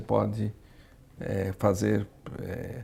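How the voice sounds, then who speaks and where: A man's voice with vocal fry. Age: 60s. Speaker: entrepreneur. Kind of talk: interview. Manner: halting, many fillers.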